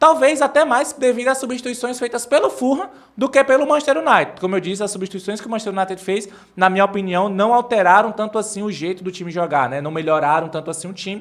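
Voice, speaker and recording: With lively intonation and a high pitch, a man rattles along at a very fast pace. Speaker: football commentator / fan channel host. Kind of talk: post-match analysis monologue. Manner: casual, hesitant fillers.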